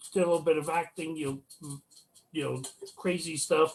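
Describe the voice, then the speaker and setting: A loud man's voice with fairly even intonation, at a moderate pace. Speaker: paranormal investigator. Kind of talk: casual chat. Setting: video call. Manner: loud, projects voice.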